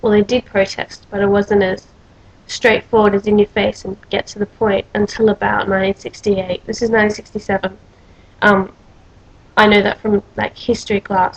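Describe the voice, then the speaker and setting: Somewhat breathy and with monotone, flat intonation, a woman at medium pitch speaks in an Australian accent at a moderate pace. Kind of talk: casual talk to camera.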